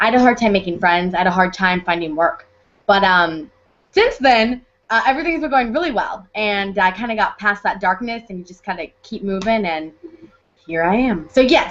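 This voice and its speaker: In a normal speaking voice, a woman with an American accent talks at a moderate pace and medium pitch, with lively intonation and big swings in loudness. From US Midwest, Hannibal, Missouri. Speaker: actress. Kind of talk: interview.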